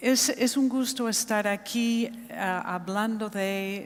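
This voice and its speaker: A woman with a non-native accent talks at a very slow pace with fairly even intonation. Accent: foreign accent in Spanish. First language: not Spanish (speaking Spanish). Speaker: architecture school dean. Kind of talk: conference talk. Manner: hesitant.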